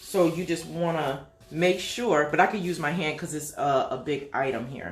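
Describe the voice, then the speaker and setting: Over audible room echo, a woman talks at a moderate pace in a fairly low pitch. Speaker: small business owner, craft maker. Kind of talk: tutorial. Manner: casual, chatty.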